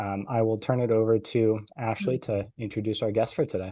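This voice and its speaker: A man with a medium pitch and a dark, mellow tone, fairly even intonation, moderate pace, and a quiet background. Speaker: podcast host. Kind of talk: casual chat.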